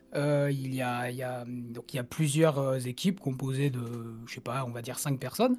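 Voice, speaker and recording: Speaking with a plain, everyday voice, a man at a medium pitch keeps a moderate pace with hardly any pauses and fairly even intonation, though his loudness swings widely. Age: 20s. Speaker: podcast co-host and musician. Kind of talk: casual chat. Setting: online voice call.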